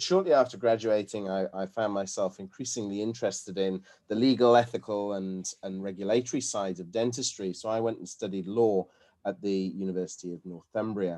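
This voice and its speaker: Over a quiet background, a man with a British accent talks at a fairly quick pace in a dark, mellow tone, fairly low in pitch, with fairly even intonation and big swings in loudness. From UK. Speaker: dental academic and lecturer. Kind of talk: webinar lecture. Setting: video call. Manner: hesitant, with fillers and repetitions.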